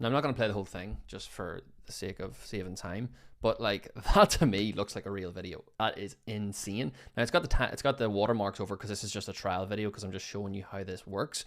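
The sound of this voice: A man speaks with a fairly low pitch and ordinary pitch variation. His pace is fairly quick.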